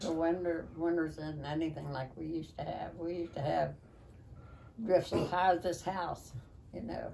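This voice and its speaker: With an Appalachian accent, a woman talks at a moderate pace in a dark, mellow tone. Light background noise is present. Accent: Appalachian American. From West Virginia. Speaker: longtime local resident; interviewee. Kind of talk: oral history interview. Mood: reminiscing, conversational. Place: home room. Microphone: camera far.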